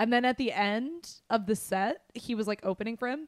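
A woman with an American accent and a fairly high pitch, an ordinary speaking voice with ordinary pitch variation, in dry, close sound with no echo. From US West, Las Vegas. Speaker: movie podcast co-host. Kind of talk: casual chat.

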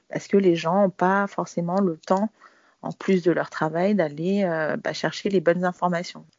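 A woman is speaking. Her pitch sits fairly low. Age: 40s. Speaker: career changer, former corporate manager. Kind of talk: interview testimony. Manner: halting, many fillers and repetitions.

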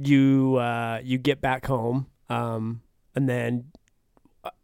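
With an American accent, a man talks in a medium register. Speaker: podcast co-host. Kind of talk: casual chat.

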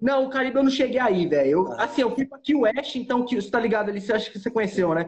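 A man talks at a very fast pace with hardly any pauses, his pitch extremely high. His intonation is lively. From Brazil, Goiânia (Goiás). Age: 20s. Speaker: scuba diving instructor. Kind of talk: casual interview chat. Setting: Instagram live stream.

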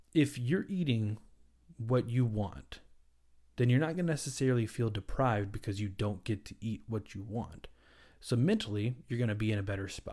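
A man speaks at a medium pitch with ordinary pitch variation and a dark, mellow, somewhat breathy tone. The recording is very clean, with a silent background. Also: moderate pace. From US South. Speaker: dietitian and podcast host. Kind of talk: solo educational podcast.

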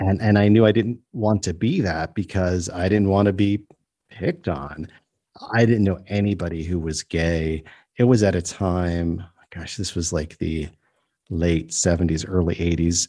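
Against a quiet background, a man with a very deep, low pitch and a dark, mellow tone speaks at a moderate pace with fairly even intonation. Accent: New York. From New York State, US. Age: 50s. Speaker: comedian and storyteller. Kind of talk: interview.

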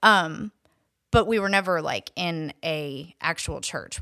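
Bright, sharp tone and lively intonation in a very clean recording against a silent background. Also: woman. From upstate New York (Syracuse), moved to Atlanta at 14. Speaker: recovering addict sharing her story. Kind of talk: testimony.

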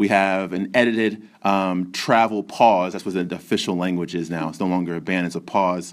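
Very deep and low, a man's voice moves at a moderate pace with fairly even intonation and hardly any pauses on a very clean recording with a silent background. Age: 30s. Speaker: teacher hosting a school podcast. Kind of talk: moderated group discussion.

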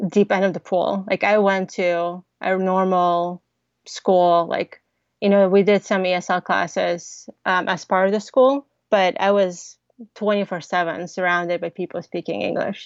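In an American accent, a woman with an ordinary speaking voice talks at a fairly slow pace, her medium pitch held in fairly even intonation. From Ukraine (Odesa), then Kansas from age 10. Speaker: tech startup founder. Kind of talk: interview.

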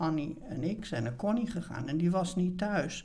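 The speech comes at a fairly quick pace with ordinary pitch variation. Audible room echo surrounds it. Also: woman. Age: 70s. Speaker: retired theatre producer. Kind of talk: interview.

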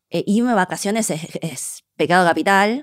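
On a very clean recording with a silent background, a woman with an unremarkable speaking voice talks at medium pitch and a moderate pace with ordinary pitch variation. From Argentina (born in China, raised from small child). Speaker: cook and food communicator. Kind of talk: interview conversation.

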